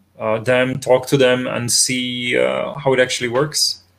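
A man with a Czech accent speaks at a medium pitch in a monotone, flat intonation. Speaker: interviewer. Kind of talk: interview. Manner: halting.

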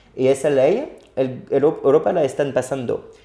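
A man speaks with a French accent at a fairly slow pace. His voice is fairly high-pitched with a dark, mellow tone. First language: French (speaking Spanish). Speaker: bitcoin educator. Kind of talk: casual interview. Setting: in person in Paris.

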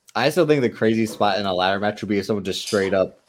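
Recorded very cleanly against a silent background, a man with an American accent has an ordinary speaking voice at a fairly low pitch. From California. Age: 20s. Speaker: wrestling podcast guest. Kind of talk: casual chat.

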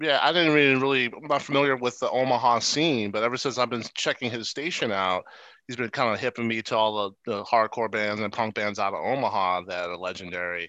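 With an American accent, a man at medium pitch speaks at a fairly quick pace with hardly any pauses, ordinary pitch variation and a bright, sharp tone against a quiet background. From US East Coast. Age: 40s. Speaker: podcast host. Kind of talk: casual chat.

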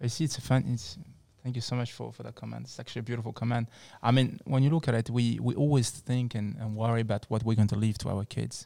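Speaking at a very fast pace with a French accent, a man has a medium pitch and a dark, mellow tone. His intonation stays fairly even on a very clean recording with a silent background. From France, North African heritage. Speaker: psychologist and wellness centre founder. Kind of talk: casual chat. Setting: studio.

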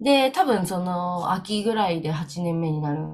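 Fairly low pitch from a woman. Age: 30s. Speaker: dance school manager, podcast co-host. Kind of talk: casual chat. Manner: animated.

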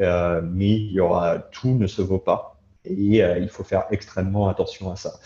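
Over a quiet background, a man speaks at a fairly slow pace in a fairly low, monotone, flat voice that is somewhat breathy with a dark, mellow tone. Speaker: crypto industry professional. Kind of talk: interview.

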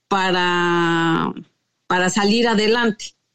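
This woman talks at a very slow pace. The background is quiet. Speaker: interview guest. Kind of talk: personal testimony.

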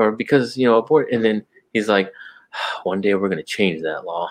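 A man talks in a normal speaking voice. His pitch is medium and his pace is moderate. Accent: American. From Texas. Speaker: podcast co-host. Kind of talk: casual chat.

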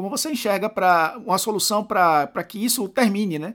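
Ordinary pitch variation in a man's high voice, delivered at a moderate pace. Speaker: podcast host. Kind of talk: interview conversation.

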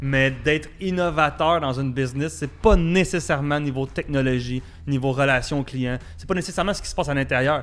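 With a Quebec accent, a man speaks fairly quickly at a fairly high pitch, with ordinary pitch variation and big swings in loudness. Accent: Québécois French. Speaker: podcast co-host. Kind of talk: casual chat.

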